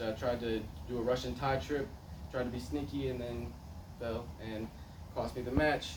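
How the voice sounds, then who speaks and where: A man at a moderate pace and medium pitch, against noticeable background noise. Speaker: wrestler. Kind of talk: personal story speech. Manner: hesitant, many fillers.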